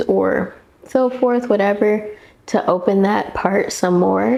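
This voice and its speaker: Amid noticeable background noise, a woman at a medium pitch speaks at a fairly slow pace with ordinary pitch variation. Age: 20s. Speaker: beauty vlogger. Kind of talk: casual chat.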